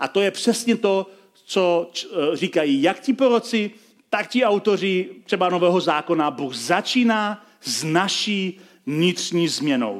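Lively intonation carries the words along at a very slow pace. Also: man. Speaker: pastor. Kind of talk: sermon.

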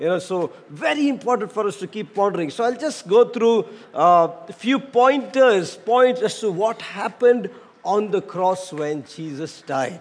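Over noticeable background noise, a man with a high pitch speaks fairly slowly with lively intonation. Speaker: pastor. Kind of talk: sermon. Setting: church.

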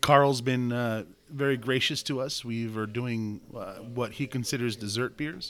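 A man with a normal speaking voice talks at a medium pitch and a fairly slow pace, his intonation fairly even. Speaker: podcast host and homebrew shop owner. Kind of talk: casual chat.

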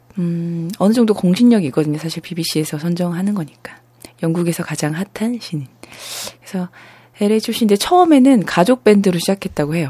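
There is noticeable background noise behind the speaker. She is a woman whose pitch varies in an ordinary way. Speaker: radio host. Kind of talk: casual live radio show. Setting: studio.

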